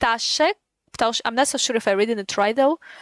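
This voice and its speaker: A woman speaks at a high pitch with a non-native accent and ordinary pitch variation. The sound is dry and close, with no echo. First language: not English. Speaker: gaming streamer. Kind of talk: casual live-stream commentary. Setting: live stream. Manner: halting, repetitive.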